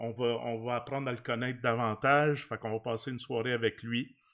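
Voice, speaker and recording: The speaker has a Quebec accent, with a quiet background. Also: man. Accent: Québécois French. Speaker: podcast host. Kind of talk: casual chat. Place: home room. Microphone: studio mic.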